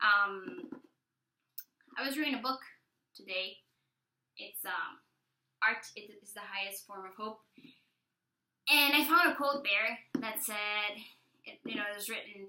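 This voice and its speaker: A woman with a bright, sharp tone and fairly high pitch speaks at a fairly slow pace with long, frequent pauses. Her intonation is lively, and her loudness swings a lot. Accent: Spanish. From El Salvador. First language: Spanish. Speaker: vlogger. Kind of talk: personal testimony vlog. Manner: hesitant, many fillers.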